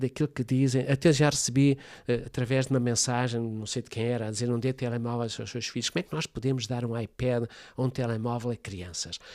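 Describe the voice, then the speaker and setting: The speech comes at a very fast pace with fairly even intonation, in a very clean recording with a silent background and a dry, close sound free of echo. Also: man. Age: 70s. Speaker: family constellations therapist. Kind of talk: interview conversation.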